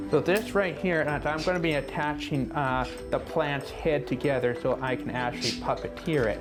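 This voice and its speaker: Over background music, a man talks enthusiastically with hardly any pauses. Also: fairly high pitch for a man, ordinary pitch variation, moderate pace. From Canada, Saskatchewan. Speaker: puppet designer and entertainer. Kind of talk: interview answer. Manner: casual, enthusiastic.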